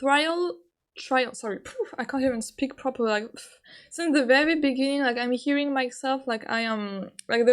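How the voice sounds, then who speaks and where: A woman with a French accent speaks in a high pitch. The recording is very clean, with a silent background. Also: ordinary pitch variation, moderate pace, big swings in loudness. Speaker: gamer commentating a playthrough. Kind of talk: casual. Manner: halting, heavy use of filler "like".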